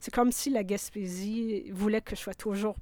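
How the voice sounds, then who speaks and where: Fairly slow and fairly high in pitch, a woman with an unremarkable speaking voice keeps fairly even intonation. The recording is very clean with a silent background, dry and close with no echo. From Quebec (Abitibi, Bas-Saint-Laurent). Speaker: sound artist and curator. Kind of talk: interview.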